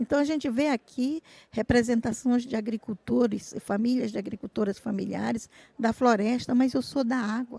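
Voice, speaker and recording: A woman with a dark, mellow tone and a fairly high pitch speaks at a moderate pace. Her intonation stays fairly even in a dry, close sound with no echo. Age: 60s. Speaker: traditional fisherwoman and activist. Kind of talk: panel talk.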